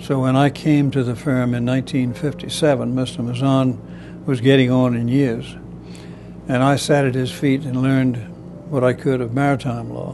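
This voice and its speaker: A man with a Charleston accent speaks at a moderate pace and medium pitch in a monotone, flat intonation, with audible room echo and noticeable background noise. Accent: Charleston Southern US. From US South, Charleston, South Carolina. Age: 80s+. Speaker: retired admiralty lawyer. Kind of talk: interview.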